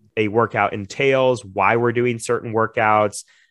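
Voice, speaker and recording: A man with an ordinary speaking voice talks at a medium pitch with fairly even intonation, recorded dry and close with no echo against a quiet background. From US South, Florida (Jupiter). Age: 30s. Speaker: gym owner. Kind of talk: interview.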